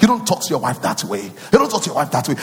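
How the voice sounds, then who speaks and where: Through noticeable background noise, a man speaks in an animated tone. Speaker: pastor. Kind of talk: sermon. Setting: church.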